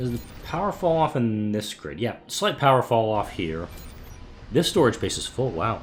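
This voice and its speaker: A man speaks at a moderate pace and medium pitch with very wide pitch swings. Music plays in the background. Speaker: gaming YouTuber. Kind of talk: let's play commentary. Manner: slightly disjointed; casual, chatty.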